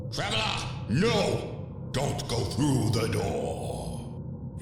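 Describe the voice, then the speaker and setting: A man uses a put-on character voice at a medium pitch, speaking at a very slow pace. Loud background noise and a strong echo fill the recording. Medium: audio drama. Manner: cryptic.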